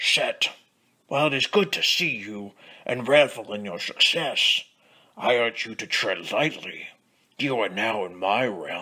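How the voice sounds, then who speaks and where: With lively intonation and big swings in loudness, a man talks at a fairly slow pace and medium pitch, leaving long, frequent pauses. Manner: formal, pompous, defiant.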